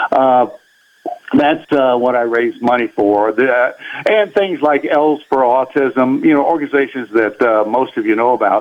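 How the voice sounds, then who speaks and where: With music playing behind him, a man speaks in a medium pitch at a very even loudness. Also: ordinary pitch variation, moderate pace. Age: 80s+. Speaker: golf record holder, charity fundraiser. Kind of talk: radio interview. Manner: halting.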